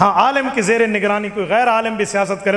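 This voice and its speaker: With noticeable background noise behind him, a man speaks in an animated tone with ordinary pitch variation. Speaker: Islamic cleric and preacher. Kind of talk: religious speech. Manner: animated, rhetorical.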